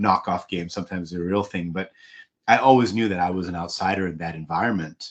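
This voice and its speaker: A man with a very deep, low pitch and an American accent, very fast, against a quiet background. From Hong Kong. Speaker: executive coach and author. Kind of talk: interview conversation. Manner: conversational, with many fillers.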